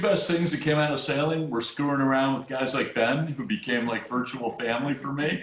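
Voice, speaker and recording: A man talks here with a Midwestern American accent. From US Midwest. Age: 60s. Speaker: retired businessman, sailing supporter. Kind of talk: casual interview. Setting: video call. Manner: hesitant, with repeated fillers.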